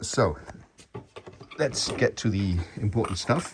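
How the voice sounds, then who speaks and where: Somewhat breathy, a man with a non-native accent speaks with ordinary pitch variation. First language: not English. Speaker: bass gear reviewer. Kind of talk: casual improvised demo. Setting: home workshop. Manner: halting, many fillers.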